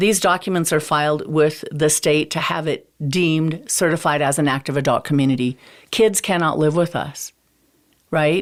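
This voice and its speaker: A woman's very deep, low voice with an American accent, at a moderate pace. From eastern Montana. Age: 50s. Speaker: realtor. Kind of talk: podcast interview.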